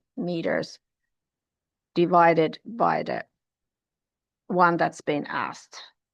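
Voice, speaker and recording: A woman's fairly low voice with vocal fry and a non-native accent, very slow with long, frequent pauses, in a dry, close sound with no echo. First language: not English. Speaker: mathematics teacher. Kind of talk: lecture. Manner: halting, with fillers.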